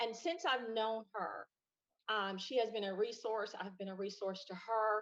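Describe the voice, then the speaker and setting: In a Southern US accent, a woman speaks fairly slowly at a fairly high pitch with ordinary pitch variation. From US South, Kings Mountain, North Carolina. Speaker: guest. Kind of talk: casual chat.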